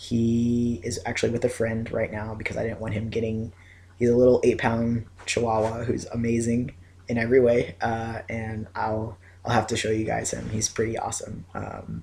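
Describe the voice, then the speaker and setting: Somewhat breathy, this voice moves at a moderate pace with monotone, flat intonation. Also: man, medium pitch for a man. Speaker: video blogger. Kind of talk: casual vlog update. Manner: hesitant, many fillers.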